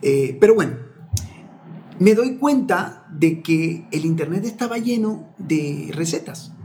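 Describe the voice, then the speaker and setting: Lively intonation and a dark, mellow tone mark this very slowly paced speech. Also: man, high pitch for a man. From Ecuador, Manabí coast (Portoviejo and Chone). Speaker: communicator, lawyer and human behavior coach. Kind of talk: interview conversation. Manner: hesitant, with frequent word repetitions.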